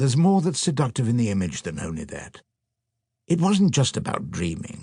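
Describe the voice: A man's dark, mellow voice with a slightly husky edge, very wide pitch swings and a moderate pace, on a very clean recording with a silent background. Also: medium pitch for a man.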